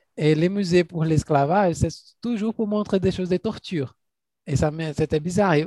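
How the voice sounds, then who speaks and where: Using a dark, mellow tone and high pitch, a man speaks at a moderate pace with ordinary pitch variation and long, frequent pauses, in a dry, close sound with no echo. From Brazil, Minas Gerais. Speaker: podcast host. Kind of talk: interview.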